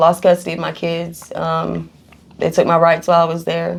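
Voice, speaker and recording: A woman speaks with a Kentucky accent at a fairly quick pace. Her pitch is fairly low. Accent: Kentucky Southern US. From Kentucky, Louisville. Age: 30s. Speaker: recovering addict. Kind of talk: interview testimony. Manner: halting, many fillers.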